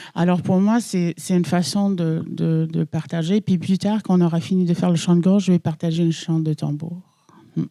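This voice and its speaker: A woman's fairly low voice has a dark, mellow tone and ordinary pitch variation at a moderate pace. The recording is very clean and dry, close with no echo, against a silent background. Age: 40s. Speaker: Inuit throat singer. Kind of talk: personal testimony. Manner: halting, with repetitions.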